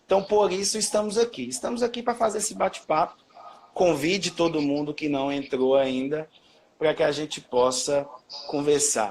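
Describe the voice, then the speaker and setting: A man talks with lively intonation and a fairly high pitch. Noticeable background noise is present. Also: moderate pace. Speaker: history teacher. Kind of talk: live-stream educational chat. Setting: Instagram live video stream. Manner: loud. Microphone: own voice echoing back through the stream.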